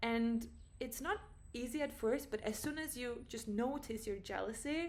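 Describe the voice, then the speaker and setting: A woman talks at a moderate pace with a non-native accent. Her pitch is high, with ordinary variation. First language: not English. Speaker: vlogger. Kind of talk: personal vlog monologue. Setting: at home. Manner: casual, halting with self-corrections.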